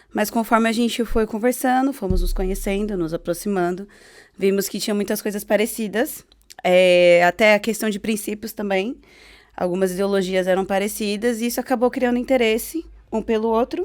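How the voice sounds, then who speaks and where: At a moderate pace, an unremarkable speaking voice with ordinary pitch variation comes through on a very clean recording with a silent background. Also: woman, fairly high pitch for a woman. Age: 30s. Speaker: gospel singer. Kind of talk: testimony.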